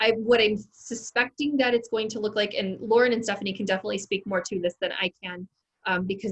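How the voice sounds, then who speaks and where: A somewhat breathy woman with a fairly high pitch speaks at a fairly quick pace. The sound is dry and close, with no echo. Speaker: ed tech trainer for teachers. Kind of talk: online training session.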